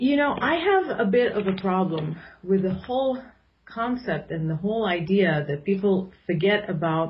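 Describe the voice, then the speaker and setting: Her intonation lively and her voice somewhat breathy, a woman speaks at a medium pitch. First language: Arabic. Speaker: political commentator. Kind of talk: radio interview.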